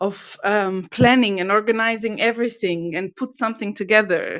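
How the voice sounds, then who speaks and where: The background is quiet as a woman speaks. She has an Albanian accent and a fairly high pitch. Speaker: property investor. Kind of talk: interview. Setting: online audio room. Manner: halting.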